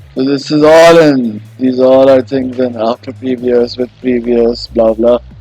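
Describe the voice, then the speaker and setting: Music plays in the background as a man speaks at a fairly slow pace with hardly any pauses. His medium-pitched voice keeps a fairly even intonation. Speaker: tutorial youtuber. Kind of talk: tutorial. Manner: halting.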